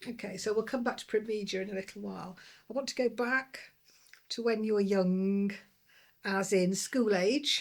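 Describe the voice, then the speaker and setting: Speaking in a Lancashire accent, a woman uses a medium pitch and fairly even intonation. Her pace is moderate, broken by long, frequent pauses. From Lancashire, northern England. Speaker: podcast host, former transport regulator. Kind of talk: interview.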